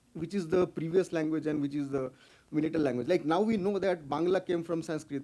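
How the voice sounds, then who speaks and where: With a Bengali accent, a man talks at a very fast pace. Noticeable background noise is present. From India, Bengal. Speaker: conference speaker. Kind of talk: lecture. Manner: halting, many fillers.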